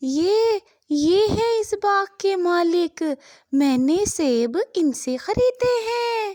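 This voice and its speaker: In a cartoonish character voice, a woman speaks very slowly at an extremely high pitch. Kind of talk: children's cartoon voice acting. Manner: polite, addresses others as brother or sir.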